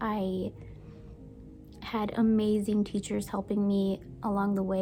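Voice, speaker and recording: Music plays behind a woman with an American accent who talks at a fairly slow pace. Her medium-pitched delivery stays monotone and flat. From United States (moved from Brazil at age three). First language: Portuguese. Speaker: book and baking YouTuber. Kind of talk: casual vlog talk.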